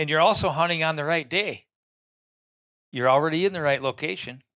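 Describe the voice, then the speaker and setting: Talking at a fairly quick pace but with long, frequent pauses, a man with an Upper Midwest accent has a fairly high pitch, a bright, sharp tone and ordinary pitch variation. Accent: Upper Midwest rural American. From Minnesota, small town. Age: 60s. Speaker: land owner and deer hunter. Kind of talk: podcast interview. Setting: studio. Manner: animated.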